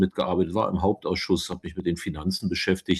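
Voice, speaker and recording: Very deep, low male voice with fairly even intonation over a quiet background. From eastern Germany, Uckermark (Brandenburg). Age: 60s. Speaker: politician. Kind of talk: podcast interview. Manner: frequent hesitations (äh).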